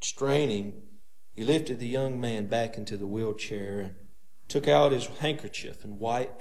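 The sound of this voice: Reading in an unforced reading voice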